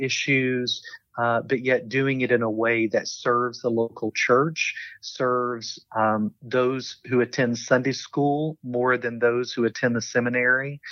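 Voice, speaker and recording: With a strong Southern US accent, a man speaks at a fairly slow pace in a medium pitch and a monotone, flat intonation. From US South, eastern Kentucky. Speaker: theology professor and seminary administrator. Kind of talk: interview conversation.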